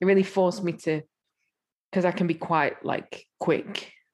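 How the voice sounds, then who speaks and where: A woman with an English accent speaks in a fairly low voice. Her intonation is fairly even and her pace moderate. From England. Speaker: musician. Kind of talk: casual chat.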